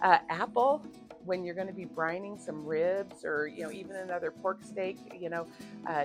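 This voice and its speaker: A woman talks at a moderate pace. Music can be heard behind her. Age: 50s. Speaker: cooking vlogger. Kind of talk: cooking tutorial. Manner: hesitant, many fillers; casual, chatty.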